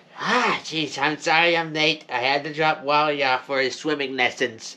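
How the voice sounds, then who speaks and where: A cartoonish character voice with a low-to-middle pitch at a moderate pace. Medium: puppet show. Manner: excitable.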